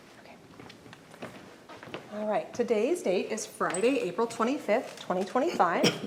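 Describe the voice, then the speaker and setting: Over noticeable background noise, a woman with a fairly high pitch talks at a moderate pace, with lively intonation, big swings in loudness and long, frequent pauses. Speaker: oral history interviewer. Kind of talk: interview questions.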